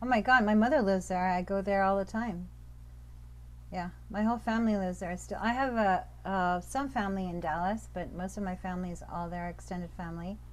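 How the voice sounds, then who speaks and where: A woman talks at a fairly quick pace, with audible room echo. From Pakistan, raised moving between countries. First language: Urdu. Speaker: professor of religious studies. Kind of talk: interview conversation. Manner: animated.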